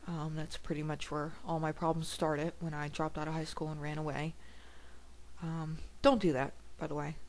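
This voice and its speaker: A woman with a very deep, low pitch speaks monotone and flat at a fairly quick pace, leaving long, frequent pauses amid audible room echo. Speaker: video blogger. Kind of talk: personal video blog. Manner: loud; halting.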